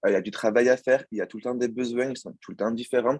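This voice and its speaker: A man's very fast speech, dry and close with no echo, against a quiet background. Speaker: former student, banking apprentice. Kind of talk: student presentation. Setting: video call. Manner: hesitant, many fillers.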